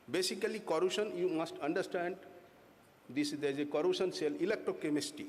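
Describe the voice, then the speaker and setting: A man talks at a fairly quick pace in a fairly high voice with vocal fry and ordinary pitch variation. Room echo is audible. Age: 60s. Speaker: corrosion engineer presenting at a conference. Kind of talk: technical conference presentation. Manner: halting, many fillers.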